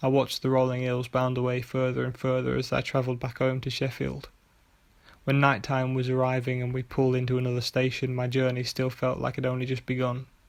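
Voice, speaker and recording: A man talks quietly and very fast at a medium pitch, in a flat monotone. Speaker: author and narrator. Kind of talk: short story reading. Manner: quiet, monotonous; fast in parts.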